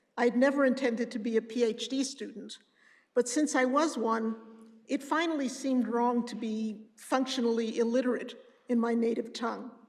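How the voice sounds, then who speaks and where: In a room with audible echo, a woman speaks at a moderate pace in a high voice with monotone, flat intonation. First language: Yiddish. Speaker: professor. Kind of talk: lecture.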